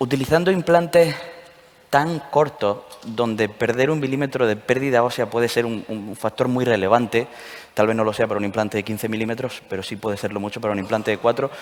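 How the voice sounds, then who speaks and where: Over noticeable background noise, a man talks at a fairly quick pace. His pitch is medium with ordinary variation. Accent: slight Andalusian. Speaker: session moderator at dental congress. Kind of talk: panel discussion moderation.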